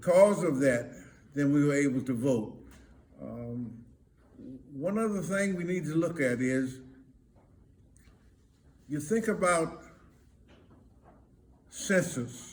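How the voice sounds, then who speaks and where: In an American accent, a man speaks at a very slow pace with long, frequent pauses. His somewhat breathy voice sits at a fairly high pitch and has lively intonation. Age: 80s+. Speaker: reverend. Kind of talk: elder's words of advice to camera. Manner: slow, hesitant.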